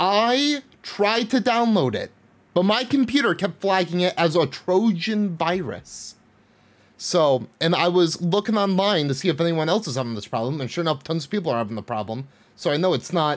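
At a moderate pace, a man speaks with very wide swings in pitch. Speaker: game streamer. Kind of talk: casual stream chat. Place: home room. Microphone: studio mic.

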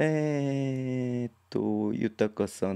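Against a quiet background, a man's pitch varies in an ordinary way. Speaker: basketball league livestreamer; basketball live streamer. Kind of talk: casual live-stream commentary reading chat. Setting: solo live stream. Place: home room. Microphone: studio mic.

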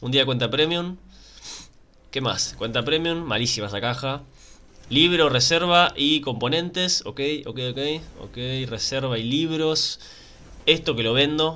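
In a Rioplatense accent, a man with a fairly high pitch and a bright, sharp tone speaks at a fairly slow pace, using ordinary pitch variation and long, frequent pauses. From Argentina. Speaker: gaming YouTuber. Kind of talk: casual gameplay commentary. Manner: animated. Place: home room.

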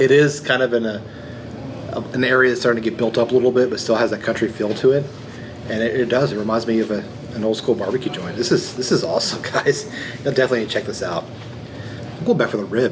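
This man talks very fast. Background noise is clearly noticeable. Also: fairly even intonation. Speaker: food vlogger. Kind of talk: casual vlog chat. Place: cafe.

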